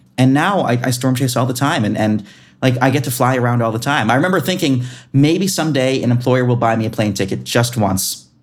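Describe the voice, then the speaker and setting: Audible room echo carries a man's voice, which shows ordinary pitch variation. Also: medium pitch for a man. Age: 20s. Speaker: meteorologist. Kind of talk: interview. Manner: animated; halting.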